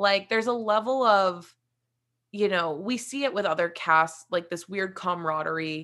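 Recorded very cleanly against a silent background, a woman with an American accent speaks at a moderate pace in a bright, sharp tone, her medium pitch varying in an ordinary way. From West Virginia. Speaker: reality TV producer and podcast host. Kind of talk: casual chat.

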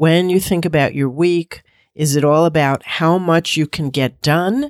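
Fairly slow speech on a very clean recording with a silent background. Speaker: weight loss coach and podcast host. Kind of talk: coaching podcast monologue.

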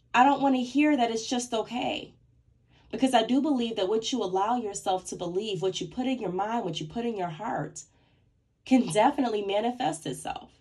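A woman's somewhat breathy, fairly high voice with lively intonation at a fairly quick pace. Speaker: podcast host. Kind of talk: motivational solo talk. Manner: less clear speech today.

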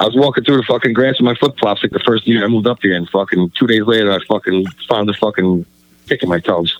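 A man with a New York accent talks at a very fast pace. His pitch is fairly low and his loudness very even. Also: ordinary pitch variation. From Staten Island, New York. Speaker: graffiti artist and event organizer. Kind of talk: casual chat.

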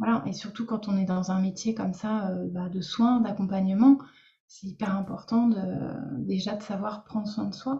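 This woman talks at a moderate pace in a medium pitch, her intonation fairly even. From Lorraine, France. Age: 30s. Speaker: speech therapist and coach. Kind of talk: interview. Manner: hesitant, many fillers.

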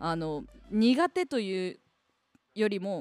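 A woman's voice at medium pitch with very wide pitch swings, in a dry, close sound with no echo. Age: 20s. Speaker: radio personality. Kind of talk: casual solo radio talk about a book.

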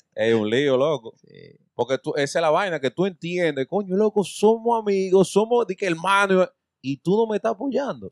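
A man with a high voice at a moderate pace, his loudness swinging widely, in a dry, close sound without echo. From Dominican Republic, Santo Domingo. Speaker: podcast host. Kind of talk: casual chat.

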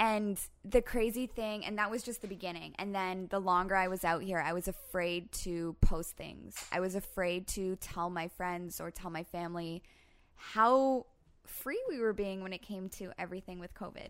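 An unremarkable speaking voice with a Canadian accent moves at a moderate pace with fairly even intonation and big swings in loudness, on a very clean recording with a silent background. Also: woman, medium pitch for a woman. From Canada, Toronto. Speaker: guest's partner. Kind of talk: casual chat.

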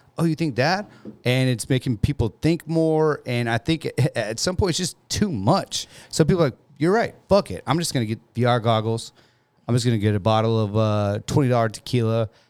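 In a very clean recording with a silent background, a man with an ordinary speaking voice talks at medium pitch and a moderate pace, his intonation lively and the sound dry and close with no echo. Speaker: podcast host. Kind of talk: casual banter.

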